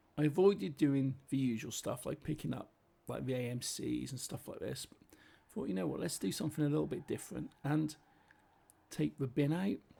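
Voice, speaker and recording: Speaking fairly quickly, a man talks with a British accent. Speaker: gaming commentator. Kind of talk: gameplay commentary. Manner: casual, chatty.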